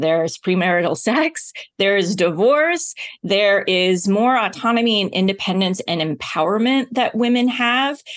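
With an ordinary speaking voice, a woman at medium pitch uses lively intonation while keeping her loudness very even over a quiet background. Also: moderate pace. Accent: American. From US South, Oklahoma. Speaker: TV journalist and speaker. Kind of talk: interview conversation.

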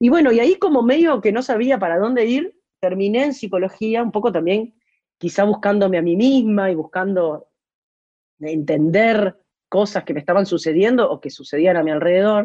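A woman's dark, mellow tone with lively intonation at a moderate pace. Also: medium pitch for a woman. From Uruguay. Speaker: singer-songwriter. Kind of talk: interview. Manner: halting, with frequent repetitions.

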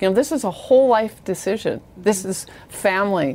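A plain, everyday voice, a woman at medium pitch with an American accent and a moderate pace. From Iowa. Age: 50s. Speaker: company CEO. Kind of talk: interview.

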